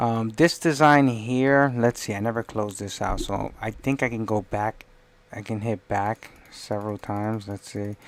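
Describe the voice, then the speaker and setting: Soft-spoken and at a moderate pace, the voice comes through a very clean recording with a silent background. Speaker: livestreamer doing 3D design. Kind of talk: live stream commentary while working. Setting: live stream screen share.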